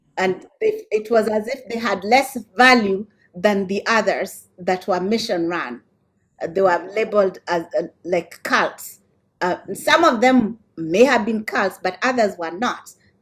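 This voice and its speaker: A woman speaks at a fairly slow pace. Her fairly high pitch shows ordinary variation. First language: an African language. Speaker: scholar presenting at a symposium. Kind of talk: academic panel Q&A. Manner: hesitant, with many fillers.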